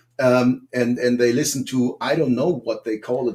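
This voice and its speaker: Here a man speaks with a German accent at a moderate pace. His tone is dark and mellow. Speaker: political guest. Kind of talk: panel discussion. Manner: halting.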